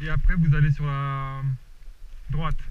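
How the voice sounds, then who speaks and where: The sound is dry and free of echo. A man talks, his pitch varying in an ordinary way. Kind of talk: casual directions to a stranger. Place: forest. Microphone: helmet.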